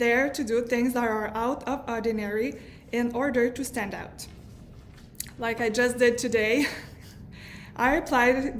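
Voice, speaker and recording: A woman with a high voice speaks with fairly even intonation and long, frequent pauses, and audible room echo fills the space. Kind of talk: prepared testimony speech.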